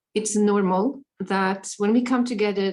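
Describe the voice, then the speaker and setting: A woman speaks at a very slow pace. Her intonation is monotone and flat. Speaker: meditation workshop leader. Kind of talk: guided meditation workshop. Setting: workshop with live translation.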